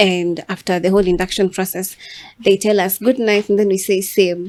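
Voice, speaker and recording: A woman talks at a moderate pace in a medium-pitched voice with monotone, flat intonation. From Kenya, Nairobi (Mathare). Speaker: podcast host. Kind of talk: casual chat.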